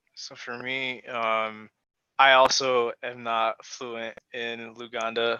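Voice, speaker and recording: A man with a Chicago accent, bright and sharp in tone, at medium pitch, very slow, flat and monotone, with big swings in loudness and a dry, close sound free of echo. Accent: American, Chicago. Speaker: panelist. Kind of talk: panel discussion. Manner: halting, many fillers.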